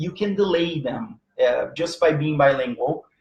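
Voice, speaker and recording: With a Portuguese accent, a man talks at a moderate pace using lively intonation. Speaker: teacher and presenter on language learning. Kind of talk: live online lecture. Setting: live stream. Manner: halting, many fillers.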